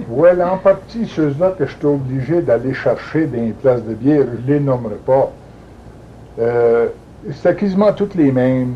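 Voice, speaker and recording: A man with a New England accent and lively intonation, over noticeable background noise. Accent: Franco-American French. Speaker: retired police chief. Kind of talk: interview answer.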